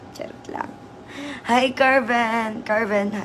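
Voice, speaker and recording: Noticeable noise sits in the background. A woman's voice comes over it. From Southern Leyte, Philippines. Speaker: live streamer. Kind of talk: casual live stream chat. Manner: animated.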